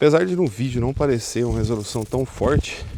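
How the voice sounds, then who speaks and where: Against noticeable background noise, a man speaks at a moderate pace with medium pitch and lively intonation. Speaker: tech product reviewer. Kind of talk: casual talk to camera.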